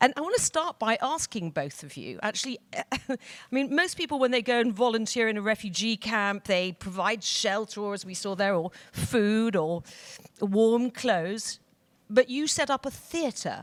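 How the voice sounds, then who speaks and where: A woman with a British accent speaks at a moderate pace in a fairly high pitch, with lively intonation and big swings in loudness. The sound is dry and close, with no echo. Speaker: panel moderator. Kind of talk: panel discussion. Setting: stage with audience.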